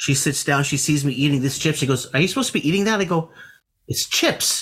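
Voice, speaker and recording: A man with a Canadian accent talks at a fairly quick pace in a fairly high pitch. His is a plain, everyday voice with ordinary pitch variation. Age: 40s. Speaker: interviewer. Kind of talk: casual chat.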